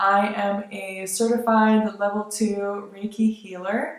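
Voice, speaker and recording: A woman's medium-pitched voice with an American accent. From born in Lithuania, grew up largely in the United States. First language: Lithuanian. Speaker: vlogger. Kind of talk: casual vlog monologue. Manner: casual, hesitant with fillers.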